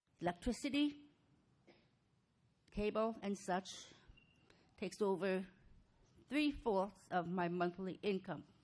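Lively intonation carries a fairly slow delivery broken by long, frequent pauses. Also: woman, medium pitch for a woman. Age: 60s. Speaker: mobile home park resident at public comment. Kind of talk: public comment at council meeting. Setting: city council chamber.

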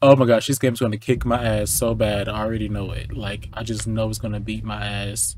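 A man's voice over background music, dry with no echo. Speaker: gaming streamer. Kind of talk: casual gameplay commentary. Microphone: headset.

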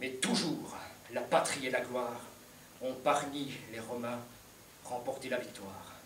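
Over light background noise and audible room echo, a man speaks at a very slow pace with fairly even intonation. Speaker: stage actor playing an emperor. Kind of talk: declaimed verse drama. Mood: grave, sorrowful resolve. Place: stage. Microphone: camera far.

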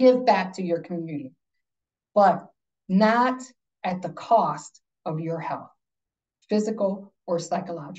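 Against a quiet background, a woman speaks in a dark, mellow, somewhat breathy tone with lively intonation. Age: 50s. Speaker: workplace consultant and wellness speaker; speaker. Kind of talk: lecture. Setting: video call. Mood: earnest, personal story. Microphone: video call.

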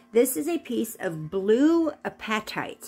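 Music plays in the background. A woman speaks over it. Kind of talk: prayer then casual tutorial talk. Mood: calm, gentle. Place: home room. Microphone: phone near.

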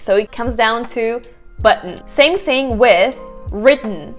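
A woman speaks at a very slow pace in a fairly high pitch with ordinary pitch variation, faint music playing in the background. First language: Russian. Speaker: English pronunciation teacher. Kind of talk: language tutorial to camera. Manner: upbeat, casual. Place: home room. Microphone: lapel.

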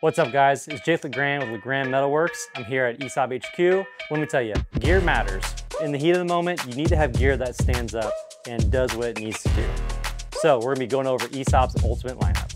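A man talks at a fairly quick pace. The sound is dry with no echo, and loud music plays in the background. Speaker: presenter. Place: workshop. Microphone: lapel.

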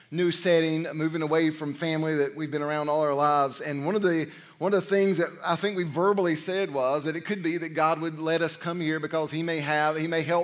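Hardly pausing at all, a man talks with fairly even intonation. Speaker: senior pastor. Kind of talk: sermon. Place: church.

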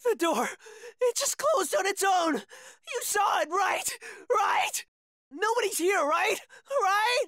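In a raised, shouting cartoonish character voice, a man speaks at an extremely high pitch and a slow pace, with long, frequent pauses, a fairly bright tone and lively intonation.

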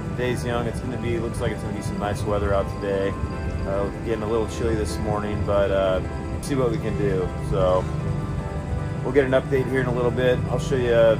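Loud music plays in the background. Over it, a man speaks at a fairly quick pace with ordinary pitch variation. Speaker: fishing channel host. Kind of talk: casual vlog chat. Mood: calm, hopeful. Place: boat. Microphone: phone near.

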